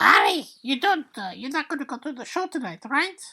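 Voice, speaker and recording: A female-sounding voice puts on a character voice, high-pitched and shrill. She talks at a fairly quick pace. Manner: anxious, worried.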